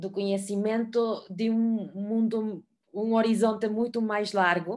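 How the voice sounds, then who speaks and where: A woman speaks at a very slow pace with fairly even intonation. Her pitch sits in the middle range. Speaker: moderator. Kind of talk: panel discussion. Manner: hesitant, many fillers.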